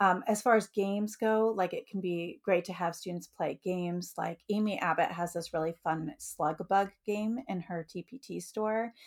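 A woman has a plain, everyday voice at a medium pitch with ordinary pitch variation. The recording is very clean, with a silent background. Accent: American. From US Midwest, Metro Detroit, Michigan. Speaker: elementary music teacher. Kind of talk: podcast interview.

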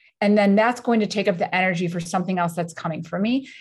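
A woman is speaking, somewhat breathy. The background is quiet. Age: 50s. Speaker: motivational speaker and author. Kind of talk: casual chat. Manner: animated.

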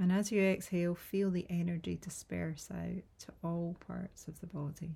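A woman with a fairly low pitch speaks in a dark, mellow, soothing, somewhat breathy tone, her intonation monotone and flat while her loudness swings widely. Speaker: meditation guide. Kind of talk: guided meditation (yoga nidra). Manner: slow, soothing and unhurried, with long pauses; soft, gentle, calming tone.

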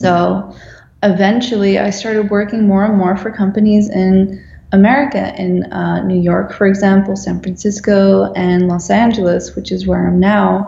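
A woman talks at a moderate pace. Her voice carries audible room echo amid noticeable background noise. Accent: Dutch. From Netherlands. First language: Dutch. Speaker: graphic designer. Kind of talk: interview.

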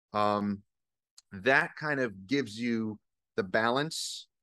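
A man speaks in an ordinary speaking voice, fairly low in pitch with ordinary pitch variation. The sound is dry and close with no echo, and the background is quiet. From US Northeast. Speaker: auto detailer and business owner. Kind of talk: casual interview.

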